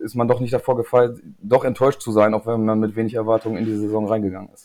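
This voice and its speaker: A man speaks at a fairly low pitch with a dark, mellow tone and a flat, monotone delivery. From northern Germany, Emsland (Lingen). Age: 30s. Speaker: registrar, fan community guest. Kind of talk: casual chat.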